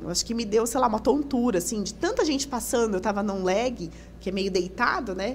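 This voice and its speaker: Woman with a fairly high pitch, lively intonation and a moderate pace, amid noticeable background noise. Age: 30s. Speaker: physiotherapist. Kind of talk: podcast interview. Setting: studio.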